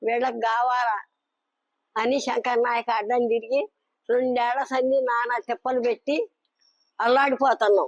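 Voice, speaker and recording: The voice is monotone with flat intonation, in a dry, close sound with no echo. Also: woman. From Nalgonda district, Telangana. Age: 80s+. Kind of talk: interview answer, pleading complaint.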